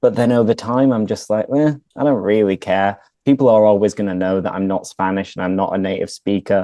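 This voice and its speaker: Speaking with a British accent, a man has a dark, mellow tone and ordinary pitch variation at a fairly quick pace. The sound is dry and close with no echo, against a quiet background. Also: fairly low pitch for a man. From England. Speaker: English teacher. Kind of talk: casual chat.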